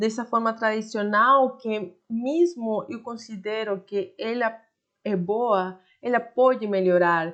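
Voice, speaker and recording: Against a quiet background, a woman with a Spanish accent talks at a very slow pace, her fairly high pitch showing ordinary variation. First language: Spanish (speaking Portuguese). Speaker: online Spanish teacher. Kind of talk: online lesson. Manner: halting, with frequent fillers.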